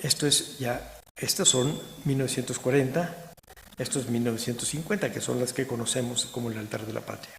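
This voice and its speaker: A somewhat breathy man at a medium pitch, moderate pace and ordinary pitch variation, with audible room echo. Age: 60s. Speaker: historian, museum director. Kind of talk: lecture. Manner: halting.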